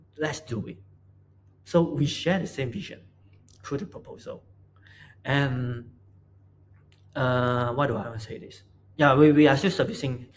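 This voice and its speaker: This man's voice is fairly high in pitch and somewhat breathy. His pitch varies in an ordinary way. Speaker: product designer. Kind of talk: casual talk to camera. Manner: stuttering, hesitant.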